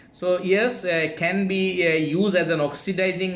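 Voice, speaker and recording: Amid noticeable background noise and audible room echo, a man speaks at a high pitch and moderate pace, his intonation fairly even. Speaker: engineer teaching online class. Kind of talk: lecture. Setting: live online class. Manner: halting.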